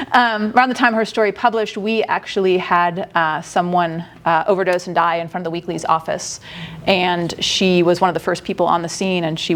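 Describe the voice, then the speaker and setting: Noticeable background noise behind very fast talk with fairly even intonation. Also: woman. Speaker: newspaper editor giving conference talk. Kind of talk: conference presentation. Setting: conference room with audience.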